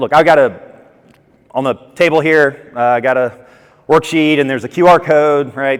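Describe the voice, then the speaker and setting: A man with an American accent and ordinary pitch variation. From US South, Atlanta, Georgia. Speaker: conference speaker, entrepreneur. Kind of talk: conference talk. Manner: fast.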